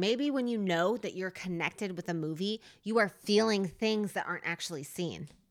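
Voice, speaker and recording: A woman speaks with a slight New Jersey accent, lively intonation and an animated tone. The recording is very clean, with a silent background. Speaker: podcast host. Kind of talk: casual chat. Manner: animated, laughs often, impatient.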